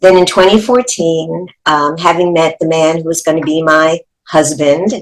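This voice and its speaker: A woman with a New York accent speaks at a fairly low pitch. Her pace is fairly slow and her intonation fairly even. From New York City. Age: 70s. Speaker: actress and teacher. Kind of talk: life story testimony.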